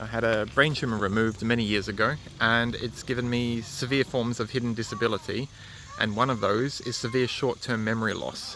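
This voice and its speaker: The speaker talks at a fairly quick pace in a monotone, flat intonation. Noticeable background noise sits underneath. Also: man, medium pitch for a man. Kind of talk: live vlog. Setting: indoor community place, then outdoors. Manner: halting; soft-spoken.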